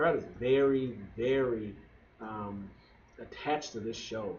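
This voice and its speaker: This man's voice sits at a medium pitch with fairly even intonation. Room echo is audible around him. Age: 20s. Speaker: wrestling show podcaster. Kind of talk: casual review monologue.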